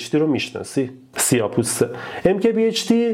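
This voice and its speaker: Over noticeable background noise, a man speaks at a moderate pace. His pitch swings very wide. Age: 30s. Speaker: YouTuber and software engineer. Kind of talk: casual chat. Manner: simple, plain speaking.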